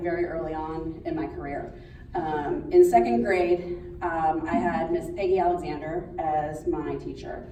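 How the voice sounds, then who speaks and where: A woman talks with an American accent amid noticeable background noise. Room echo is audible. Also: big swings in loudness. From Pittsburgh, Pennsylvania. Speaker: schoolteacher. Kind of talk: speech. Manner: loud.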